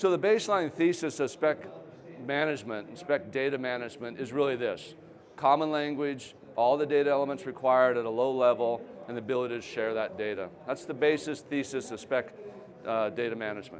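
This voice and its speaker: A man at medium pitch with lively intonation and a fairly quick pace, with noticeable background noise. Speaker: company founder and CEO giving a talk. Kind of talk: conference presentation. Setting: trade show stage with audience.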